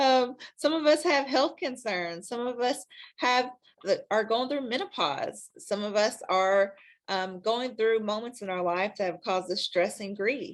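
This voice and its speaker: The speaker has a Kentucky accent. The pace is fairly slow and the intonation lively. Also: woman, fairly high pitch for a woman. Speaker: sex counselor. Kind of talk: interview. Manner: hesitant, many fillers.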